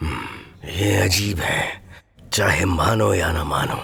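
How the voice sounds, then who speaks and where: The speech moves fairly slowly. It comes in a put-on character voice. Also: man. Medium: fan dub. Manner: gruff, terse.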